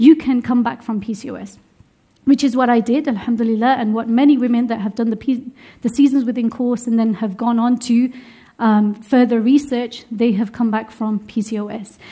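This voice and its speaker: A woman with a British accent and a fairly high, dark, mellow voice in a monotone, flat intonation. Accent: UK. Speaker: religious teacher. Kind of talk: lecture.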